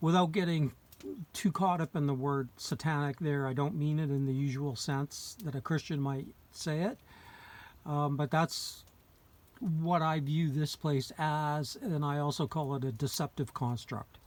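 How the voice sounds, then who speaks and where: A man talks at a fairly slow pace in a fairly high pitch, his pitch varying in an ordinary way. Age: 60s. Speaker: video blogger commenting on philosophy. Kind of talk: casual monologue. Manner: halting, many fillers.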